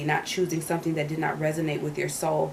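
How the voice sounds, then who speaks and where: A woman with a very deep, low pitch speaks at a very fast pace. Noticeable background noise and audible room echo surround her. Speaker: tarot reader. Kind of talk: tarot reading. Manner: halting with repetitions.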